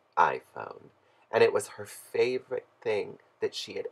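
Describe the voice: The text is read aloud plainly. Nothing more than plain reading aloud is heard.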